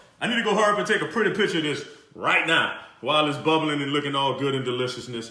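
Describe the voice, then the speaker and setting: Talking at a very fast pace in an animated tone, a man with a fairly high pitch and a New Orleans accent comes through over noticeable background noise and audible room echo. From New Orleans, Louisiana. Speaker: chef, cooking show host. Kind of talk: live cooking show.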